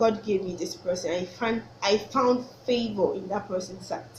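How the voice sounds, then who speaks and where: A woman with a Nigerian accent and fairly high pitch at a fairly slow pace, with audible room echo and noticeable background noise. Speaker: vlogger. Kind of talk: casual faith talk to camera. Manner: halting, self-correcting.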